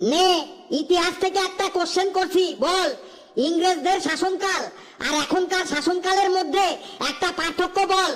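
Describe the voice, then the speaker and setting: Shouting in a cartoonish character voice, the speaker uses an extremely high pitch at a moderate pace. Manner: bossy, shouting.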